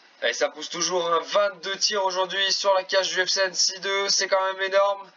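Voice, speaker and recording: A man with a high voice talks at a moderate pace while noticeable background noise carries on. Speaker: video game football commentator. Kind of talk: live commentary. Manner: animated.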